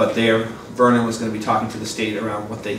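Through audible room echo and noticeable background noise, a man speaks at a fairly low pitch. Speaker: board member giving committee report. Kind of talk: meeting report. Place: classroom. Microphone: camera far.

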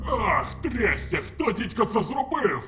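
A man uses a put-on character voice at a fairly slow pace. Clear background noise can be heard. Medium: fan dub. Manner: sarcastic, irreverent.

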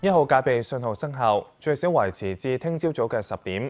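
With faint music in the background, a man speaks at a moderate pace using lively intonation. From Hong Kong. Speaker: news anchor. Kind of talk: news reading. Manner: formal. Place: studio. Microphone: lapel.

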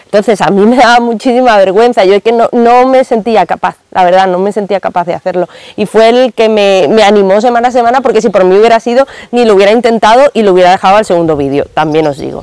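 Against a quiet background, a woman talks at a very fast pace with ordinary pitch variation, the sound dry with no echo. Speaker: book vlogger. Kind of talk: casual vlog chat. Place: garden. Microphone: lapel.

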